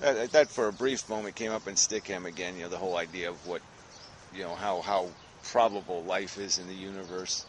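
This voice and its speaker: With big swings in loudness and a very deep, low pitch, a man talks at a fairly quick pace with ordinary pitch variation, the sound dry with no echo over light background noise. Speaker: vlogger. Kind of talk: casual vlog chat. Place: forest. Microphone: phone near.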